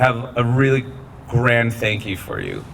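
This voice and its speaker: Against noticeable background noise, a man with an American accent talks at a moderate pace and a medium pitch. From Southern California (Riverside). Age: 40s. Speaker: school alumnus honoree, brand founder and author. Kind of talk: award acceptance speech. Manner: casual, conversational with fillers.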